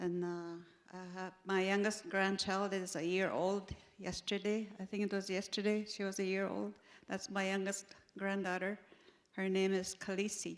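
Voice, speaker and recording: Her intonation is monotone and flat. The woman talks at a moderate pace and a medium pitch. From northwestern Ontario First Nations. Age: 70s. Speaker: traditional counselor. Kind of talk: panel discussion. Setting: conference stage with audience. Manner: halting, many fillers.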